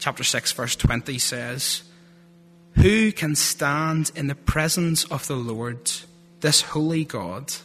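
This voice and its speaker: A man with a strong Northern Irish accent speaks at a very slow pace. His voice is fairly high and his intonation is lively. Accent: Northern Irish, thick. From Northern Ireland (Lurgan). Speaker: theology student giving a sermon. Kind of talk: sermon. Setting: church.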